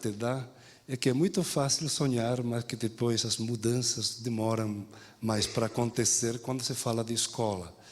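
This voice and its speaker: Here a man at medium pitch speaks at a moderate pace with ordinary pitch variation. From Spain. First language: Spanish (speaking Portuguese). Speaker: education professor. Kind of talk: lecture. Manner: halting, with frequent repetitions and fillers.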